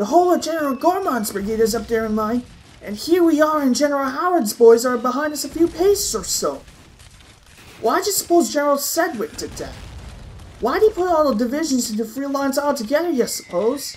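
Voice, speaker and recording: This put-on character voice is high-pitched and shrill. It moves at a fairly quick pace. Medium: audio drama.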